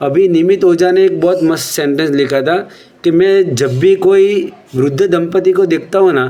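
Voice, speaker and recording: A high-pitched man with a Gujarati accent speaks with very even loudness and ordinary pitch variation over noticeable background noise. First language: Gujarati (speaking Hindi). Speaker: Jain religious speaker. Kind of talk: religious discourse.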